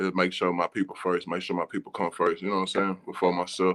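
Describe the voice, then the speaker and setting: A man with an American accent talks at a very fast pace in a very deep, low voice. The sound is dry and close, with no echo. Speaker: rapper. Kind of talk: casual chat.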